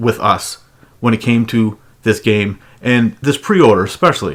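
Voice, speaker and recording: This man has a North American accent and a medium pitch. He speaks at a moderate pace with ordinary pitch variation. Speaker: gaming YouTuber. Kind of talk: casual commentary monologue. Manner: halting, with frequent restarts.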